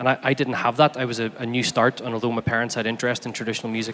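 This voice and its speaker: Over noticeable background noise, a man with a Belfast accent speaks very fast at medium pitch. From Northern Ireland, Belfast. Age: 30s. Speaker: fiddle player and academic. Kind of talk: symposium talk.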